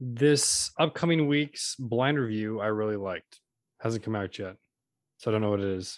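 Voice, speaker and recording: A man's medium-pitched, normal speaking voice at a moderate pace, with ordinary pitch variation and a quiet background. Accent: American. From Central Valley, California. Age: 20s. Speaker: podcast co-host. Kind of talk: casual chat.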